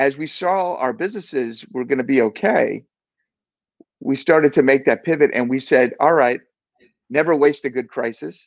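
A man speaks at a moderate pace with a fairly high pitch. His pitch varies an ordinary amount, and he leaves long, frequent pauses. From Maryland, just outside D.C. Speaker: business executive. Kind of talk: interview.

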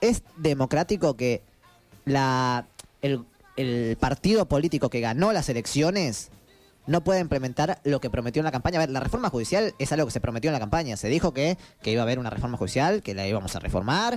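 An animated man with a Rioplatense accent talks fairly quickly in a fairly high voice with lively intonation, against noticeable background noise. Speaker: podcast co-host. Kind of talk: casual chat. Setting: studio.

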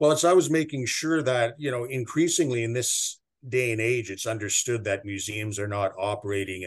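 This man has a Canadian accent and an ordinary speaking voice. He talks at a moderate pace against a quiet background. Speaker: museum director. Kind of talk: interview. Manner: measured, formal with frequent fillers.

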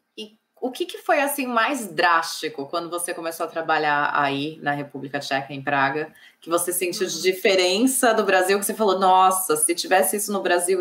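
With lively intonation, a woman talks in an unremarkable speaking voice at a medium pitch and a moderate pace. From Brazil, São Paulo. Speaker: civil engineer and channel host. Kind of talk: live interview. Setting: online livestream.

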